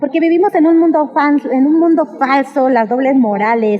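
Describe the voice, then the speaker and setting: A woman talks at a fairly quick pace, her pitch varying in an ordinary way, with noticeable background noise behind her. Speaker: sex worker interviewee. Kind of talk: street interview testimony. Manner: animated.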